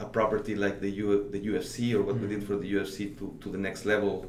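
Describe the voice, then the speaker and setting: A man speaks at a fairly low pitch, in a flat monotone. The room echo is audible. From Mexico City. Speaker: digital strategy director. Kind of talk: interview. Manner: halting.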